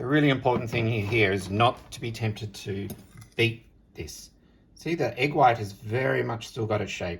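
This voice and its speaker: With vocal fry and an Australian accent, a man speaks at a medium pitch and moderate pace, with ordinary pitch variation. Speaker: home cook. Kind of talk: cooking tutorial.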